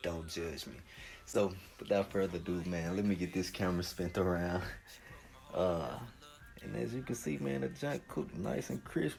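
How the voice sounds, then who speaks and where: A man's very deep, low voice with a Southern US accent, relaxed in tone, with lively intonation, a moderate pace and long, frequent pauses, music in the background. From US South. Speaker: home cook YouTuber. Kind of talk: cooking tutorial. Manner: casual, relaxed.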